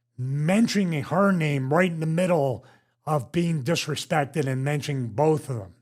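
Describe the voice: On a very clean recording with a silent background, a man with a Philadelphia accent talks at a moderate pace. His voice is somewhat breathy and fairly high, with lively intonation.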